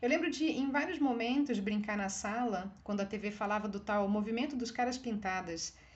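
With a Brazilian accent, a woman speaks at a fairly quick pace in a fairly high pitch with ordinary pitch variation over noticeable background noise. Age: 40s. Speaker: writer. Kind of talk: reading aloud.

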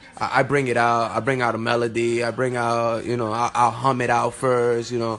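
Speaking at a moderate pace with a medium pitch, a man with an American accent keeps a monotone, flat intonation against noticeable background noise. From Newark, New Jersey. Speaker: rapper. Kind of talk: casual interview. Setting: radio studio.

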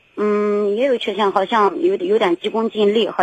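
Heard in a dry, close sound with no echo, a woman with a medium pitch speaks at a moderate pace with lively intonation. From rural China. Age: 40s. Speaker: caller, rural mother and small trader. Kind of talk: call-in advice show. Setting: phone call. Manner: halting, many repetitions.

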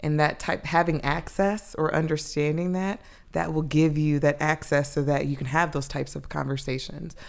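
With an American accent, a woman speaks at a very deep, low pitch and a moderate pace, her intonation fairly even. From US South, Atlanta, Georgia. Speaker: education human resources partner, former teacher. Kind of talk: casual interview.

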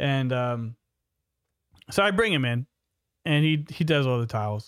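Here a man talks with ordinary variation in pitch. His voice sits at a medium pitch. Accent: American. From New York City. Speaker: podcast host, remodeling business owner. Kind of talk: casual chat.

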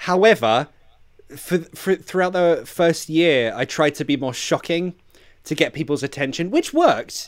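In a London accent, a man with a high pitch talks at a fairly slow pace with ordinary pitch variation. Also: very clean recording, silent background. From London, England. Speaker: English teacher. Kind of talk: casual chat.

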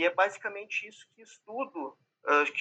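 With a Brazilian accent, a man speaks with ordinary pitch variation. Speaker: PhD researcher. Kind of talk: roundtable discussion.

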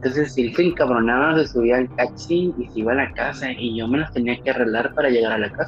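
Noticeable background noise runs under a voice with a Mexican accent and ordinary pitch variation. It moves at a very fast pace with hardly any pauses. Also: man, medium pitch for a man. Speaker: podcast host. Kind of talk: casual chat.

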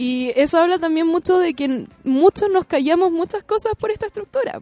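A woman's dark, mellow voice at a moderate pace, with very wide pitch swings and a dry, close sound with no echo. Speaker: illustrator and author. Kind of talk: interview. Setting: studio.

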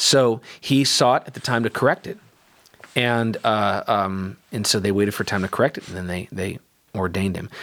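A man speaks at a moderate pace with a fairly low pitch. His loudness swings widely while his pitch varies in an ordinary way. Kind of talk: casual chat. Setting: studio. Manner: quieter than the other speaker.

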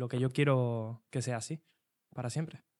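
On a very clean recording with a silent background, a man speaks in a medium-pitched voice. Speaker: youth association educator. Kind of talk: casual chat.

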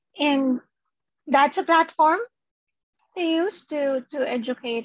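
A woman's voice with ordinary pitch variation and a dry, close sound with no echo. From Philippines. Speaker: sex therapist. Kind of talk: interview. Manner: halting.

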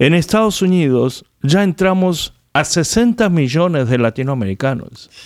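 With a Korean accent, a man talks at a fairly slow pace and fairly high pitch, his loudness very even while his pitch swings very widely. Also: hardly any pauses. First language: Korean (speaking Spanish). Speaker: pastor. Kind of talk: radio interview.

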